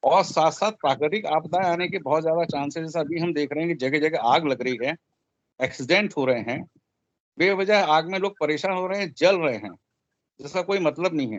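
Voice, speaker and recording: A man's fairly high voice at a moderate pace, an ordinary speaking voice with ordinary pitch variation. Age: 60s. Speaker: astrologer. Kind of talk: speech with predictions. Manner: humble, conversational.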